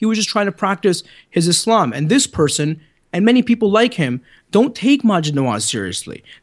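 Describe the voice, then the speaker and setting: A man with a Canadian accent, high pitch, very wide pitch swings and a very fast pace. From Canada. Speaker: writer and commentator. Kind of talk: interview, debate.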